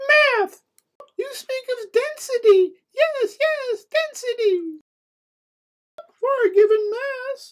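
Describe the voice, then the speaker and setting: In a cartoonish character voice, a woman squeaks at an extremely high pitch, talking very slowly with lively intonation and long, frequent pauses. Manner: melodramatic, punning.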